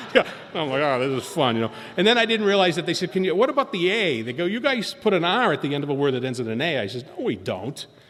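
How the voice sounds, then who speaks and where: Over noticeable background noise, a man talks at a fairly quick pace in an animated tone. His pitch swings very widely. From Boston. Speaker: recovery speaker at AA meeting. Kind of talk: recovery talk, storytelling.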